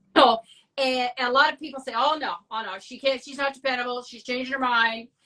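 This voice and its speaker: A woman's raised, projected voice, high-pitched and bright with a sharp edge, fairly even in intonation, fairly quick, with big swings in loudness. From Ontario, Canada (rural Dundas). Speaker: abstract artist. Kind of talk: casual chat. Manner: fast.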